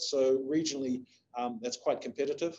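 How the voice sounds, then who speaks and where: A man's dark, mellow voice in a New Zealand accent, fairly quick and monotone. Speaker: investment agency CEO. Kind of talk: webinar presentation. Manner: halting, many fillers.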